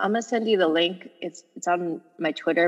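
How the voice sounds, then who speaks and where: Over music in the background, a woman talks at a moderate pace in a fairly low pitch with ordinary pitch variation. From Los Angeles, US. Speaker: sports journalist and author. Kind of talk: interview.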